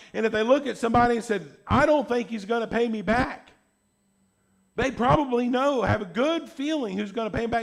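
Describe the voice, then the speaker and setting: Loud speech comes at a fairly quick pace with ordinary pitch variation, recorded very cleanly against a silent background. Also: man. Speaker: pastor. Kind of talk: sermon.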